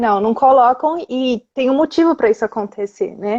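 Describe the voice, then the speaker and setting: In a São Paulo accent, a woman speaks with a high pitch and a dark, mellow tone. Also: dry, close sound with no echo. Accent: São Paulo Brazilian Portuguese. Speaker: Spanish teacher. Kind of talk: casual chat. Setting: Instagram livestream.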